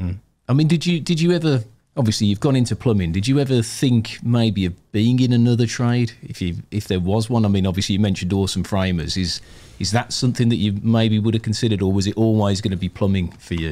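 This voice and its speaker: Fairly low male voice with a British accent, dark and mellow in tone, very fast, with ordinary pitch variation. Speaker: podcast co-host. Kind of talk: casual interview.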